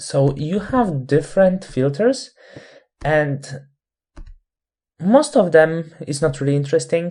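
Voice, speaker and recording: The speaker has a non-native accent and a very slow pace. Long, frequent pauses break up the speech. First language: not English. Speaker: Photoshop instructor. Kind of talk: tutorial.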